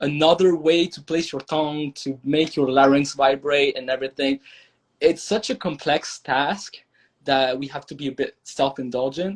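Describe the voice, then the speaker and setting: In a French accent, a man talks at a moderate pace with a fairly high pitch. His loudness swings widely over a quiet background. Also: fairly even intonation. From France. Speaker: language learner. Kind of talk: podcast interview. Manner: halting, with self-corrections.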